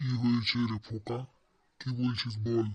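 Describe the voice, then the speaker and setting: Speaking in a cartoonish character voice, a man keeps a medium pitch with monotone, flat intonation. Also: moderate pace. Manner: gruff, scornful.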